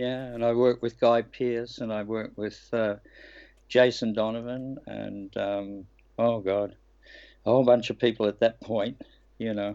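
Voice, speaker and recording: A man with an Australian accent, medium in pitch, dark and mellow in tone, flat and monotone, at a moderate pace with long, frequent pauses over a quiet background. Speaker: actor. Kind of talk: interview.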